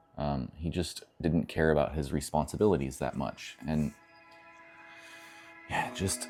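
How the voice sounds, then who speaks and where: Music plays in the background as a man speaks with a very deep, low pitch. His pace is fairly slow and his intonation lively. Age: 40s. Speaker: vlogger. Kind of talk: casual vlog monologue. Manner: reflective, halting with fillers.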